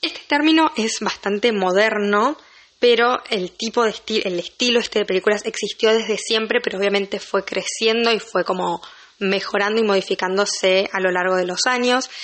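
A woman speaks at a moderate pace in a Rioplatense accent. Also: fairly high pitch for a woman, ordinary pitch variation. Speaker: film podcaster. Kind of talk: solo podcast monologue. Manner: casual, chatty.

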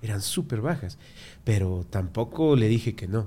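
A man speaks in a dark, mellow, fairly low voice. His pace is fairly slow. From Ecuador. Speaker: tattoo artist. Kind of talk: casual chat. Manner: animated.

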